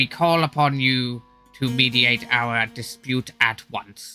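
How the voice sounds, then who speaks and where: Over faint background music, a man puts on a character voice at a medium pitch and a fairly slow pace. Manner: formal, urgent.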